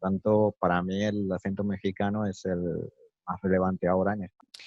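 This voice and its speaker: Speaking at a moderate speed, a man uses a fairly low-pitched voice. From Spain, Málaga (Andalusia). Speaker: interviewee, native speaker. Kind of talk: interview. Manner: hesitant, many fillers.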